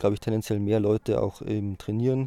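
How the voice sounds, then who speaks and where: Very clean recording with a silent background of a man's dark, mellow voice, fairly low in pitch, at a moderate pace. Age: 20s. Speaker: student and powerlifter. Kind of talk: interview.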